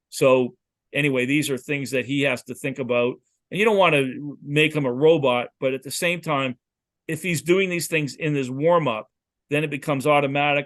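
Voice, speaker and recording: A man with a plain, everyday voice, fairly high in pitch, with ordinary pitch variation and a fairly quick pace. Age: 60s. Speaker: football quarterback coach. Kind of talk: lecture.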